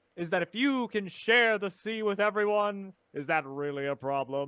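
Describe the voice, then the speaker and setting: Using a put-on character voice, a man talks at a moderate pace with high pitch. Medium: actual play.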